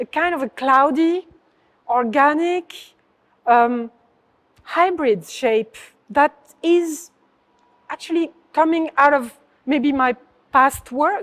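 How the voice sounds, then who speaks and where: A woman speaks very slowly in a French accent, her pitch high with ordinary variation. The sound is dry and close, with no echo. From southern France. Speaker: artist. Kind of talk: interview. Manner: halting.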